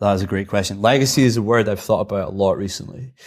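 With an Edinburgh accent, a man talks at a fairly quick pace with a fairly low pitch. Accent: Edinburgh Scottish. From Scotland, Edinburgh. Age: 30s. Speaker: extreme unicyclist. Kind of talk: casual chat.

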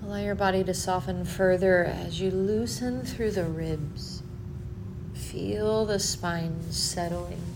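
Over music in the background, a woman speaks very slowly in a soothing tone. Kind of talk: guided meditation. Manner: slow, soft and soothing, with long pauses; gentle, calm, unhurried.

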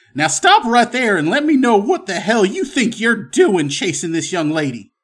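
In a put-on character voice, a man speaks at a moderate pace with a high pitch and very wide pitch swings, on a very clean recording with a silent background. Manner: stern, commanding.

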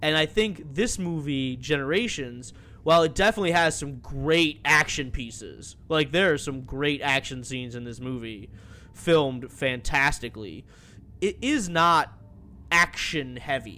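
With a bright, sharp tone and lively intonation, a man speaks at a fairly slow pace and a fairly high pitch. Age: 30s. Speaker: podcast co-host. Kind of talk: casual chat.

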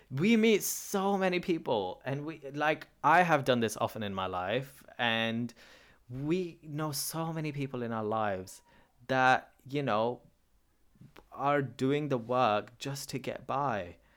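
On a very clean recording with a silent background, a man with a Pakistani accent and fairly high pitch speaks at a very slow pace with lively intonation. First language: Urdu. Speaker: podcast host and performer. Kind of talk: solo reflective monologue.

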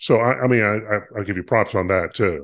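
With an American accent, a man has an unremarkable speaking voice at a fairly low pitch. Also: quiet background. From US South, North Carolina. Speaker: podcast co-host. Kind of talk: casual chat.

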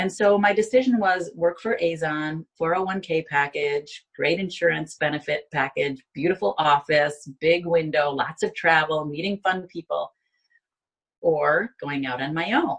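Speaking with an American accent, a woman uses a fairly low, somewhat breathy voice with ordinary pitch variation at a fairly slow pace. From Binghamton, New York. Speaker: life coach. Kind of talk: interview testimony.

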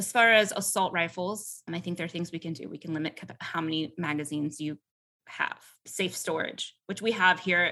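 The voice has a bright, sharp tone and a fairly quick pace, with big swings in loudness. The background is quiet. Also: woman, fairly low pitch for a woman. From US South, Atlanta. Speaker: politician and attorney. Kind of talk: interview.

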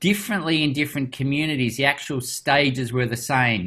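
In a very clean recording with a silent background, a man with an Australian accent speaks at a moderate pace and medium pitch, with ordinary pitch variation. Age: 50s. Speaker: doctor and youth program founder. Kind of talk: interview.

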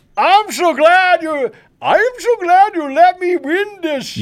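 An extremely high put-on character voice speaks at a very slow pace.

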